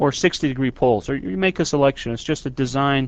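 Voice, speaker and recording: Here is a man with a plain, everyday voice at a medium pitch. His pace is moderate and his pitch variation ordinary. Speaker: university lecturer. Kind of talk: lecture.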